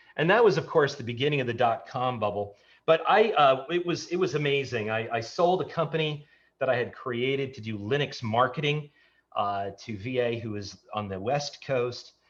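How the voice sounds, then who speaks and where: A man's somewhat breathy voice with an American accent, over a quiet background. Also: medium pitch for a man, lively intonation, moderate pace. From New York. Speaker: tech entrepreneur. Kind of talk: casual interview chat.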